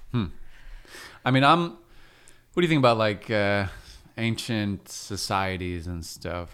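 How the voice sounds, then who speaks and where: A man with a fairly low pitch talks at a very slow pace, leaving long, frequent pauses. His intonation is lively. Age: 30s. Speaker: podcast host. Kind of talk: casual chat. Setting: studio.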